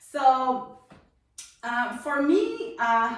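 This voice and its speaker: With a Spanish accent, a woman speaks at a high pitch, with audible room echo. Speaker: testimony guest. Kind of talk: testimony. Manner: halting.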